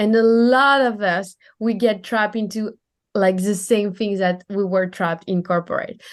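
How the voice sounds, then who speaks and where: A strong French accent at a moderate pace, with fairly even intonation against a quiet background. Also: woman, medium pitch for a woman. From France. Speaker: time management and business coach. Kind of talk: podcast interview.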